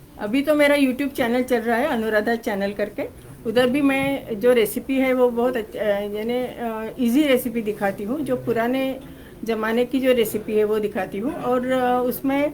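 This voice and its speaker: A woman's high-pitched voice in a Marathi accent, fairly even in intonation, with hardly any pauses and audible room echo. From Maharashtra, India (Pune). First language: Marathi (speaking Hindi). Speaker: cookbook author. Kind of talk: press interview. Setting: press conference.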